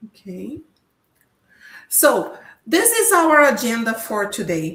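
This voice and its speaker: A woman's voice with a Portuguese accent. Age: 50s. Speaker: professor. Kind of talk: lecture.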